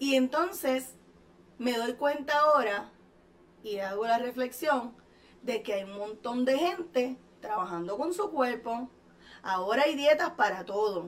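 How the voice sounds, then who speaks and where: Using lively intonation and a high pitch, a woman speaks at a fairly slow pace, leaving long, frequent pauses. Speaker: hypnotherapist and show host. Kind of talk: motivational talk.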